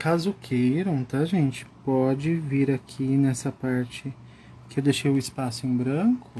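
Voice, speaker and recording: A man speaks at medium pitch in a calm tone that is dark, mellow and somewhat breathy. His pace is fairly slow and his loudness very even. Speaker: art instructor. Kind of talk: live coloring tutorial. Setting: Instagram live stream.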